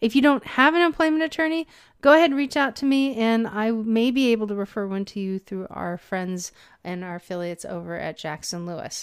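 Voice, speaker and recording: A woman with a fairly high pitch and a warm, enthusiastic tone talks at a fairly quick pace, her pitch swinging very widely and her loudness shifting a lot, in a very clean recording with a silent background. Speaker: podcast host. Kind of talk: casual interview chat.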